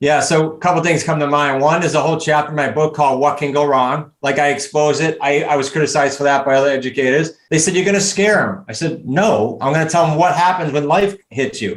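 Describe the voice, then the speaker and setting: A man with a New England accent and a fairly high pitch, at a very fast pace, with ordinary pitch variation, very even loudness and hardly any pauses. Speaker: real estate coach. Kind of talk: interview. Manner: animated.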